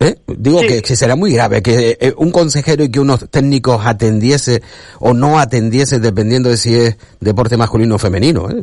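A man talks at a fairly quick pace in a plain, everyday voice. His pitch variation is ordinary and his loudness very even. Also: medium pitch for a man. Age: 50s. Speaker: sports radio host. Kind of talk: radio sports talk show.

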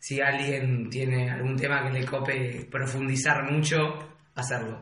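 A man's fairly high, monotone voice with flat intonation, in a Rioplatense accent at a fairly slow pace, amid noticeable background noise and audible room echo. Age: 20s. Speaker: podcast co-host. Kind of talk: casual chat.

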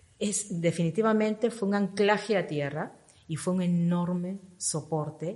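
A woman's fairly low, somewhat breathy voice at a moderate pace with ordinary pitch variation. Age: 50s. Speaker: fitness program member sharing transformation. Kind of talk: interview testimony.

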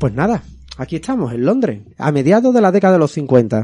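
The dark, mellow voice moves at a moderate pace with very wide pitch swings. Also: man. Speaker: school radio presenter. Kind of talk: scripted role-play dialogue.

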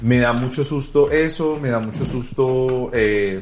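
A man of medium pitch with fairly even intonation, audible room echo and music in the background. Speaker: TV presenter and journalist. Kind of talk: casual chat.

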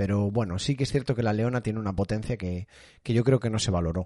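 This is a plain, everyday voice at a fairly quick pace. The background is quiet. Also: man. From Galicia, Spain (Rías Baixas). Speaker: streamer and podcast host. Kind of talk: casual live stream chat.

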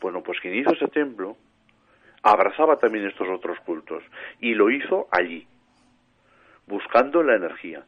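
A man's voice at a moderate pace, with lively intonation. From Spain, Matarraña, Teruel (Aragon). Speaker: paranormal researcher and author. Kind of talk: radio interview.

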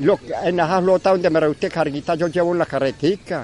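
This man's pitch is high, with ordinary variation, and he talks fairly quickly. The sound is dry and close with no echo, though noticeable background noise can be heard. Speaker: elderly man living in a shelter. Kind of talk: interview. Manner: halting.

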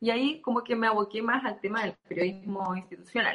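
A woman speaks with a Chilean accent at a fairly high pitch. Her pace is moderate and her pitch variation ordinary. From southern Chile (Temuco). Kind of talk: casual interview.

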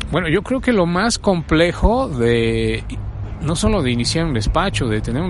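Male speech amid noticeable background noise and audible room echo. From Mexico City. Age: 50s. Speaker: architect. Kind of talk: interview. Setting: outdoors on a university campus. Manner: hesitant, many fillers.

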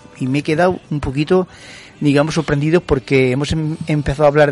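A man's fairly high voice with fairly even intonation, set against noticeable background noise. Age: 50s. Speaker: radio co-host. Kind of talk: radio talk show. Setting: radio studio.

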